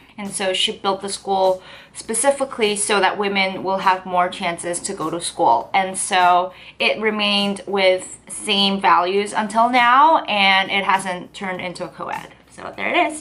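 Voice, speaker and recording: A woman with a Korean accent at a medium pitch and a fairly slow pace, over noticeable background noise. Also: ordinary pitch variation, big swings in loudness. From South Korea. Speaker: lifestyle vlogger. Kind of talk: casual vlog talk to camera. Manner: chatty, hesitant with fillers.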